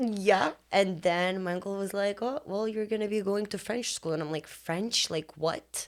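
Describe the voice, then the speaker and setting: On a very clean recording with a silent background, a woman with an Eastern European accent speaks at a moderate pace and medium pitch, with ordinary pitch variation and hardly any pauses. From Lithuania. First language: Lithuanian. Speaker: business owner. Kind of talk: casual interview.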